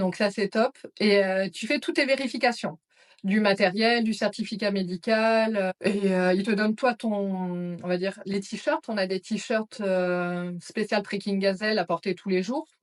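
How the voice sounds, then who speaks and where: A woman speaks at a fairly slow pace with a plain, everyday voice. Her pitch is medium, with ordinary pitch variation. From France, Auvergne (Clermont-Ferrand). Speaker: psychiatric nurse, trek participant. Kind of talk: interview.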